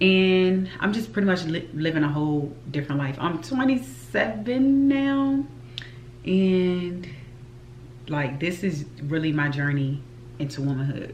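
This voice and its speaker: Her very deep, low voice swings widely in pitch as the woman speaks at a fairly slow pace, with audible room echo. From US South, Richmond, Virginia. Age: 20s. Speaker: YouTube vlogger and flight attendant. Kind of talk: casual vlog talk to camera.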